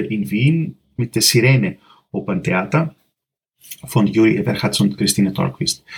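In a Greek accent, a somewhat breathy man talks at a fairly slow pace with lively intonation. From Greece, Athens. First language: Greek (speaking German). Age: 40s. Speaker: composer. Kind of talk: interview.

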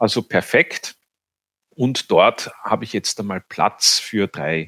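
A man speaks with vocal fry. The sound is dry and close, with no echo. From Vienna, Austria. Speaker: banker and beginner beekeeper. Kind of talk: interview.

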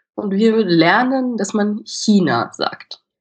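A woman speaks with lively intonation. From Austria, Vienna. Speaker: drama student. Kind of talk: casual interview. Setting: video call.

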